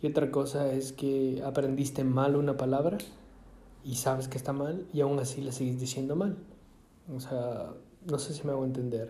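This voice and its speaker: Over audible room echo, a man with a dark, mellow, somewhat breathy tone talks at a moderate pace and medium pitch with fairly even intonation. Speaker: podcaster. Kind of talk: casual monologue. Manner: halting, many fillers and repetitions.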